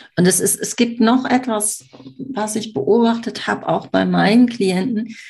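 A woman speaks at a very slow pace with vocal fry. Her pitch varies in an ordinary way. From Germany, Düsseldorf. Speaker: marketing mentor. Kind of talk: casual interview.

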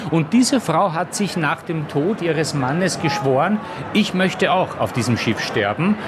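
Lively, high-pitched speech from a man with a Viennese accent at a moderate pace, over noticeable background noise. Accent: Viennese Austrian. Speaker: journalist and author. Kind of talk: casual chat.

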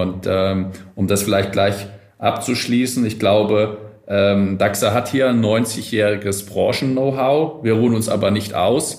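The man's voice sits fairly low in pitch, and he talks at a very slow pace. His loudness stays very even and his intonation fairly even, with audible room echo around him. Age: 40s. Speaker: logistics company executive. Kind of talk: interview. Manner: formal.

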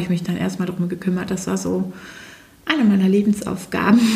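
A woman's medium-pitched voice stays monotone and flat, with audible room echo and noticeable background noise. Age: 40s. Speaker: naturopath and ThetaHealing teacher. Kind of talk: interview.

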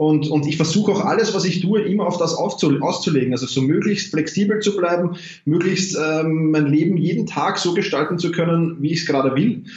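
A man with a Viennese accent speaks at a high pitch and moderate pace, with ordinary pitch variation, very even loudness and hardly any pauses. Noticeable background noise and audible room echo fill the recording. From Austria, Vienna. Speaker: self-management coach. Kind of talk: interview. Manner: animated.

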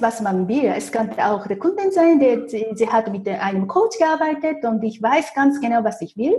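Lively intonation from a fairly high-pitched woman amid noticeable background noise. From Japan. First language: Japanese (speaking German). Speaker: feng shui consultant. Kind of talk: interview. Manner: halting, many fillers.

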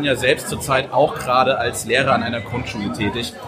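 A man talks at a fairly quick pace with ordinary pitch variation, music playing in the background and audible room echo. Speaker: podcast host. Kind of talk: casual chat. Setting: live show with audience.

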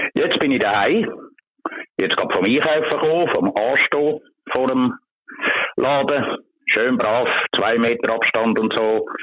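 With very even loudness and ordinary pitch variation, a man talks at a very slow pace, leaving long, frequent pauses. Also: medium pitch for a man. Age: 60s. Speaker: street magazine vendor. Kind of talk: interview. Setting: phone call.

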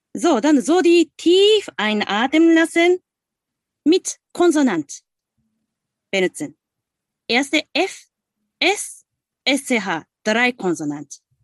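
In a Japanese accent, a woman speaks very slowly at a high pitch with very wide pitch swings and long, frequent pauses, her voice dry and close with no echo against a quiet background. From Japan, Osaka. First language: Japanese (speaking German). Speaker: singing teacher. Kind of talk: guided exercise; interview. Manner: halting.

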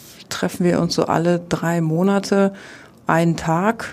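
Speaking at a very slow pace, a woman uses a fairly low pitch with monotone, flat intonation. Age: 40s. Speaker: athletics coach. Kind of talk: interview.

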